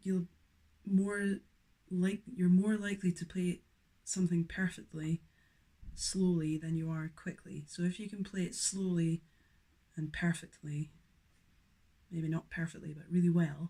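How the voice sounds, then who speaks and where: A Scottish accent carries this fairly slow delivery. Long pauses break it up often. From Scotland. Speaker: guitar teacher. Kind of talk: tutorial. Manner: casual, with fillers.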